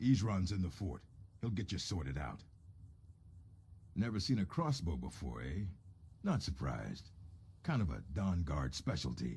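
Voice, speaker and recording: A put-on character voice from a man, very deep and low, at a moderate pace over clear background noise. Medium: video game. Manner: gruff, matter-of-fact.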